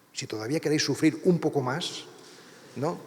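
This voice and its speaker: A man's fairly high voice at a moderate pace over noticeable background noise. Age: 60s. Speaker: priest and writer. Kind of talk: lecture. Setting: university lecture hall with audience.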